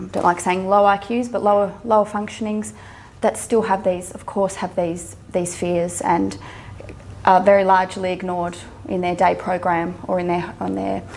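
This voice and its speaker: At a moderate pace and with fairly even intonation, the speaker talks with an Australian accent in a room with audible echo. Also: woman, medium pitch for a woman. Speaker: mental health social worker and psychologist. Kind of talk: public talk. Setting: stage with audience. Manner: halting, many fillers and repetitions.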